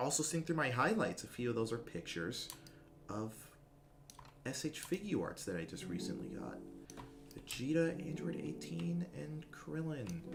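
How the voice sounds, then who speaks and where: Quiet and fairly high-pitched, a man speaks at a moderate pace with very wide pitch swings and long, frequent pauses, amid audible room echo and background music. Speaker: streamer. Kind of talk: casual chat. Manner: mellow.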